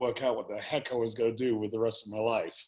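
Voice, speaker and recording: A man speaks with an English accent. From England. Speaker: business owner. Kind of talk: interview.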